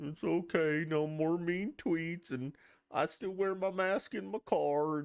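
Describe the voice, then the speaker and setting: This put-on character voice comes in a Southern accent at a middle pitch. It moves at a fairly slow pace. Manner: mocking.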